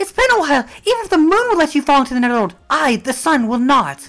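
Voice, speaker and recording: A female-sounding voice talks very fast at a high pitch in a put-on character voice. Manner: urgent, pleading, affectionate.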